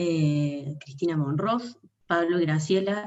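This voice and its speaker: With a plain, everyday voice, a woman speaks at a fairly low pitch with ordinary pitch variation. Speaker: online event moderator. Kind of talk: moderating an online talk, reading viewer messages.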